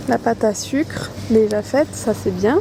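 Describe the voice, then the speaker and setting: A woman speaks at a very slow pace. Music plays in the background. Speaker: YouTuber, vlogger. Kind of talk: casual vlog.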